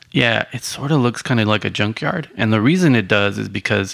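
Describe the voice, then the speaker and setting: A man with a fairly low pitch, a bright, sharp tone and vocal fry speaks at a moderate pace. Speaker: podcast host. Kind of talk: casual chat.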